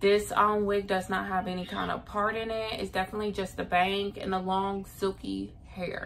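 A woman's voice comes through with light background noise. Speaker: beauty vlogger. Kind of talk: casual vlog chat. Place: home room. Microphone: phone near.

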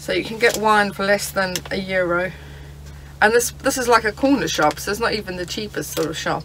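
A woman talks at a fairly quick pace at a medium pitch, her fairly bright tone showing ordinary pitch variation over faint background noise.

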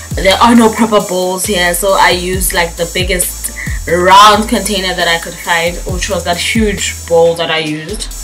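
A woman speaking at a fairly slow pace, with faint music in the background. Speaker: book vlogger. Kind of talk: casual vlog chat. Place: home room. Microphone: camera far.

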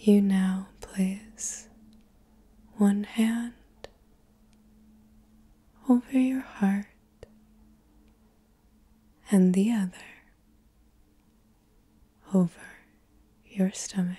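A soft-spoken woman talks in a gentle, dark, mellow tone that is somewhat breathy, with fairly even intonation. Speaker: guided relaxation host. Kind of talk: guided meditation / hypnosis narration. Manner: soft-spoken, slow, gentle guiding voice. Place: home room.

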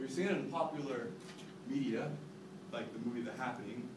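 There is noticeable background noise behind a man talking. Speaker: presenter. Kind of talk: class presentation. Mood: mock-serious, humorous. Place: classroom. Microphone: camera far.

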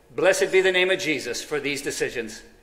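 A high-pitched man at a fairly quick pace, with audible room echo. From US. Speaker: pastor. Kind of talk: sermon; prayer. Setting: church. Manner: animated. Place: church.

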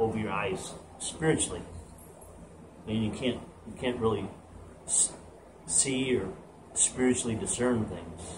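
The man's moderate pace of speech carries over noticeable background noise. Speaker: home gym coach. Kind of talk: casual sermon then workout intro. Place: garage.

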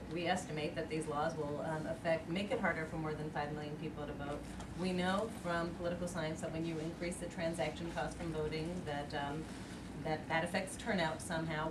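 Moderately paced female voice amid noticeable background noise. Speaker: panel discussant. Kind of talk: panel discussion answer. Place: meeting room.

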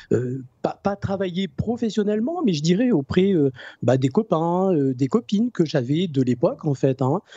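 A man's fairly slow speech with lively intonation, dry and echo-free against a quiet background. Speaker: energy healer; guest. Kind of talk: interview. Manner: halting. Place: home room. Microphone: new microphone, good sound; studio mic.

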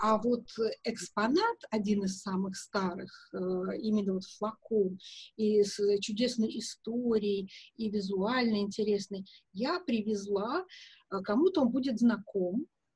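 Over a quiet background with a dry sound and no echo, a woman talks at a very slow pace with long, frequent pauses, a fairly high pitch, ordinary pitch variation and a somewhat breathy quality. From Russia (Soviet Union). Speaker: perfumer and perfume historian; guest. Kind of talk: interview. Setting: video call from home. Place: home room. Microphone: video call.

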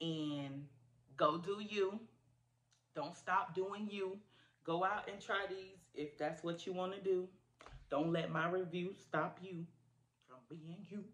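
A woman's very slow speech with long, frequent pauses and fairly even intonation. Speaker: food reviewer vlogger. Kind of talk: casual vlog chat. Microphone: phone near.

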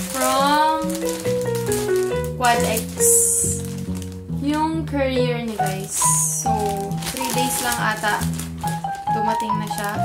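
A woman speaks at a very slow pace with long, frequent pauses. Loud music plays in the background. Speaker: vlogger. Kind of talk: casual vlog chat. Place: home room. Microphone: camera far.

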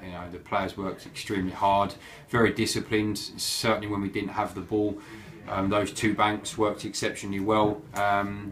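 With music in the background, a man speaks at a moderate pace in a fairly low pitch and a monotone, flat intonation. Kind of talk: interview answer. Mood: pleased, reflective. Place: office. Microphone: phone near.

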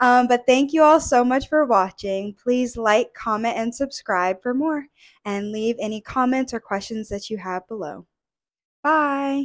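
Against a quiet background, a woman with a high pitch talks at a fairly slow pace with ordinary pitch variation. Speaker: video creator with alopecia. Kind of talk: casual interview. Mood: warm, smiling. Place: home room. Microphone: handheld.

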